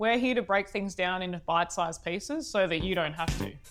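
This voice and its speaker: Over music in the background, a woman speaks at a fairly quick pace with lively intonation. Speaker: podcast host. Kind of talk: podcast hosting.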